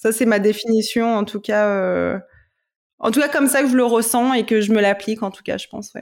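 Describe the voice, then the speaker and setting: With big swings in loudness, a woman talks at a moderate pace and a fairly high pitch, keeping her intonation fairly even. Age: 20s. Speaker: corporate lawyer and yoga teacher. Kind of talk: personal testimony in casual interview. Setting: podcast interview. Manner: halting, many repetitions.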